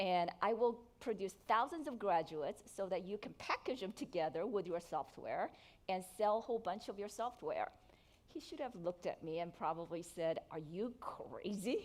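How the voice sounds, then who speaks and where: A Korean accent with lively intonation. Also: woman, medium pitch for a woman, moderate pace. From South Korea. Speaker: entrepreneur. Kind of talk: keynote speech.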